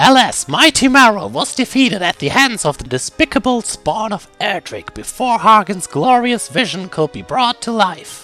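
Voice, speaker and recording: With faint music behind him, a man does a put-on character voice at a high pitch and a moderate pace. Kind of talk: reading game dialogue aloud in character.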